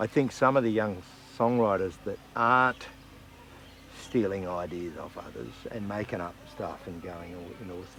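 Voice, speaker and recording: The speaker has an Australian accent and talks at a moderate pace. Pitch varies in an ordinary way while loudness swings widely. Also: man, fairly low pitch for a man. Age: 60s. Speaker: country singer-songwriter. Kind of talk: interview. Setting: music festival.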